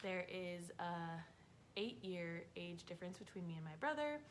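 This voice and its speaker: A woman with a fairly low pitch talks at a moderate pace and with ordinary pitch variation, and audible room echo is heard. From North Dakota, Fargo. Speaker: vlogger. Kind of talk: casual chat.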